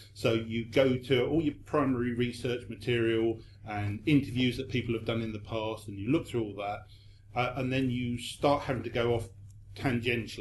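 Somewhat breathy, a man talks at a moderate pace with a medium pitch and fairly even intonation. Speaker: magazine editor. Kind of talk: panel discussion.

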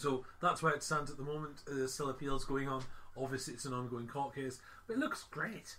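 A man with an ordinary speaking voice talks at a fairly quick pace and fairly high pitch, with fairly even intonation. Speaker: podcast host. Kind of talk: casual chat. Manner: chatty, jokey.

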